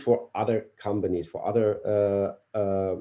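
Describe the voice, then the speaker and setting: In a German accent, a man speaks at a very slow pace. His medium-pitched voice has a dark, mellow tone. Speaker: company CEO. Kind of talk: interview answers. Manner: halting, hesitant English.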